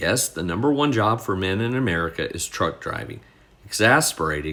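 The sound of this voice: An unforced reading voice carries the text with lively intonation.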